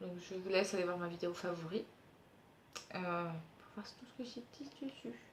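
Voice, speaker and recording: This woman's voice sits at a medium pitch and keeps a moderate tempo. Its rise and fall is ordinary. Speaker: beauty youtuber. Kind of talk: product review vlog.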